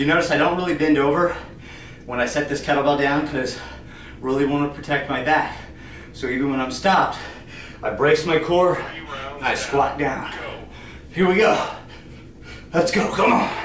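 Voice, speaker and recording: Amid light background noise and audible room echo, a man talks at a moderate pace with ordinary pitch variation and long, frequent pauses. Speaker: fitness coach. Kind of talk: workout tutorial. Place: empty room. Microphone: camera far.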